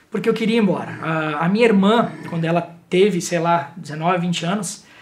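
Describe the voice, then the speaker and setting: Speech comes at a fairly quick pace with fairly even intonation, with audible room echo and noticeable background noise. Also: man. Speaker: writer and former radio reporter. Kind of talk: interview. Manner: fast.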